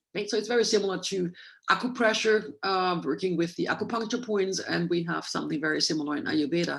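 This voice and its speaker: Her intonation is lively, and a quiet background surrounds the woman. She talks at a very fast pace. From Germany. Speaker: Ayurveda doctor, guest lecturer. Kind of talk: lecture.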